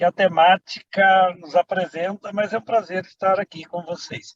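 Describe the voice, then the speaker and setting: Speaking at a fairly slow pace, a man with a high pitch is captured in a dry, close recording with no echo. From Brazil, Minas Gerais. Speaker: politician and priest. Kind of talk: panel greeting.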